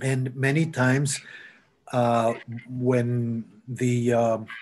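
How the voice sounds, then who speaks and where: A man with a Spanish accent speaks in a somewhat breathy voice. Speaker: architect and labyrinth designer. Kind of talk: Q&A after a talk. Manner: halting, many fillers.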